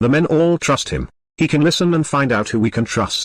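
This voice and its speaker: Growling in a put-on character voice, a man talks at a fairly quick pace with very even loudness and ordinary pitch variation. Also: fairly high pitch for a man. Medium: read story. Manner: calm, measured.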